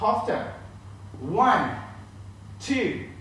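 A man speaks in a space with strong room echo. Light background noise can be heard. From northern Sweden. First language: Swedish. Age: 30s. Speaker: line dance instructor. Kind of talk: live-streamed dance class, instructing step by step with counts. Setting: live stream from home. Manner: upbeat, encouraging; rhythmic, brisk count-offs. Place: empty room.

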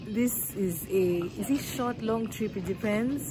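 There is noticeable background noise as a woman talks with ordinary pitch variation. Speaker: travel vlogger. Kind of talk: casual vlog chat. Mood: excited, laughing. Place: station. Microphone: phone near.

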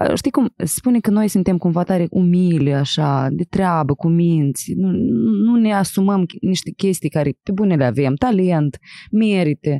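A woman's fairly low, dark, mellow voice with lively intonation at a fairly slow pace, dry with no echo against a quiet background. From Moldova, Chișinău; Moldova. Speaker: podcast host and actress; podcast host. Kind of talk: casual interview. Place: studio. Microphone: studio mic.

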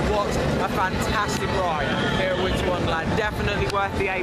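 A man with a high pitch speaks at a moderate pace. Music plays in the background, and the room echo is audible. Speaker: theme park vlogger. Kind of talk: vlog commentary. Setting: outdoors at a funfair. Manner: enthusiastic.

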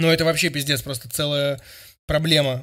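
Against a quiet background, a man talks at a moderate pace in a fairly high voice with a bright, sharp tone. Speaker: streamer and music critic; streamer. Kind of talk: reaction stream commentary. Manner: loud. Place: home room. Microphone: studio mic.

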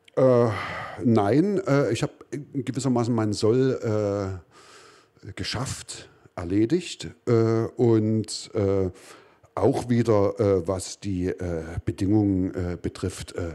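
Against a quiet background, a man with a fairly low, dark, mellow voice speaks at a very slow pace with ordinary pitch variation and long, frequent pauses. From East Germany. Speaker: artist and musician; talk show guest. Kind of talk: interview. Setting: basement venue. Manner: halting. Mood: dry, ironic, calm. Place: stage. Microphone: handheld.

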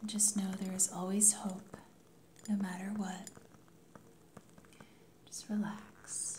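Over light background noise, a woman talks very slowly in a monotone, flat intonation, leaving long, frequent pauses. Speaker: ASMR creator, life coach. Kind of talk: ASMR intro talk to camera. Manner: calm, soothing. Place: home room.

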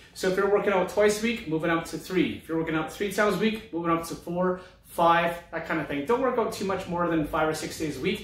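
The speech shows ordinary pitch variation, with audible room echo. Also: man. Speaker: fitness trainer. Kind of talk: tutorial. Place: office. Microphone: phone near.

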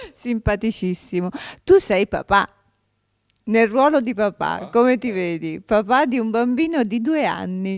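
Against a quiet background, a woman with a fairly high voice talks at a fairly slow pace with lively intonation and long, frequent pauses, the sound dry with no echo. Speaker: TV talk show host. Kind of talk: interview. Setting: studio. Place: studio. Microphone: handheld.

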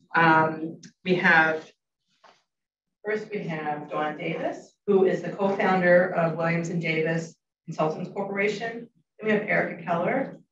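A woman speaks at a fairly low pitch with a fairly bright tone. Room echo is audible. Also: ordinary pitch variation, fairly slow pace.

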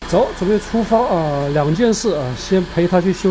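A man's high-pitched voice at a fairly quick pace, with light background noise. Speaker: travel vlogger. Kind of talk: casual vlog narration. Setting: outdoors and in a car. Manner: casual, chatty. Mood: frustrated but animated.

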